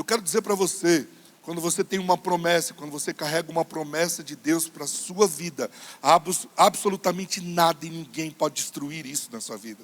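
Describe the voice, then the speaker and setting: This man speaks at a moderate pace with a high pitch, ordinary pitch variation and big swings in loudness. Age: 40s. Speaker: pastor. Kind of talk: sermon.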